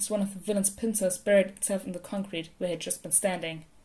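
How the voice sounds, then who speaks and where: A woman talks very fast in a medium-pitched, somewhat breathy voice with a dark, mellow tone and fairly even intonation. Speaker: podfic reader. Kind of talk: fan fiction audiobook reading.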